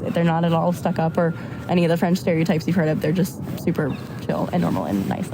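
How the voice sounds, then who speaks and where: A woman with an American accent, fairly low in pitch, at a very fast pace, with noticeable background noise. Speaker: university student. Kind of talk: casual chat. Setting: outdoors on a park bench.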